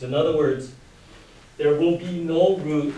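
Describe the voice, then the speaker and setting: A man speaks loud at a fairly slow pace, his pitch fairly high. Audible room echo and noticeable background noise are present. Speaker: high school math teacher. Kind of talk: lecture.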